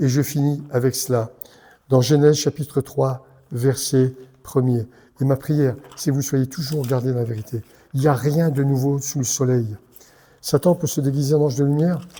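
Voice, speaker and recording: The voice has a dark, mellow tone and is somewhat breathy, moving at a moderate pace with long, frequent pauses. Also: man, fairly high pitch for a man. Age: 70s. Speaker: pastor. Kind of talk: sermon. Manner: animated.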